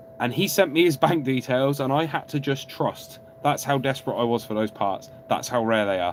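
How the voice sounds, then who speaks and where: Speaking with a southern English accent over noticeable background noise, a man keeps a moderate pace with hardly any pauses, a medium pitch and ordinary pitch variation. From England, Oxford. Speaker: car YouTuber. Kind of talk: live stream Q&A. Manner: animated.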